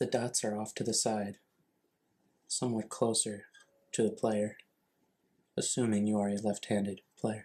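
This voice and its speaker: A soft-spoken man talks at a moderate pace in a monotone, flat intonation. He leaves long, frequent pauses. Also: fairly low pitch for a man. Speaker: ASMR creator. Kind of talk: ASMR object walkthrough. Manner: softly spoken.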